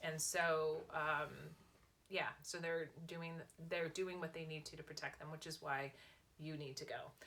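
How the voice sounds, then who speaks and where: A woman with a Californian accent and a very deep, low pitch speaks fairly slowly in a monotone, flat way, with long, frequent pauses. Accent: American (California). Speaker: lifestyle vlogger and author. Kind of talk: casual chat.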